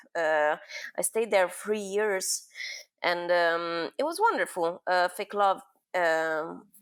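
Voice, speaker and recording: The speaker has an Italian accent and fairly even intonation. The pace is very slow. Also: woman, fairly low pitch for a woman. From Milan, Italy. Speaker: experiential designer and new media artist. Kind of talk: interview answer.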